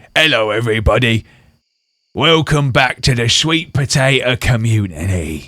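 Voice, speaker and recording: Doing a put-on character voice, a man sounds raspy at a medium pitch and keeps a moderate pace. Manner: silly, exaggerated.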